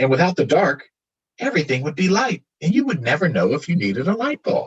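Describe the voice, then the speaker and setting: In a put-on character voice, creaky and fairly quick, the speaker's pitch swings very widely. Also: man, high pitch for a man. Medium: read story. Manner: soft, mysterious.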